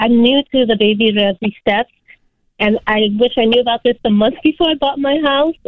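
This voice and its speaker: This woman has a plain, everyday voice with a fairly high pitch and ordinary pitch variation. She talks at a fairly quick pace. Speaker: caller. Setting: phone call.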